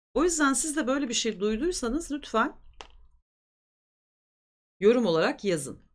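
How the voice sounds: In a very clean recording with a silent background, the voice moves at a moderate pace with big pitch swings. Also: woman, fairly high pitch for a woman.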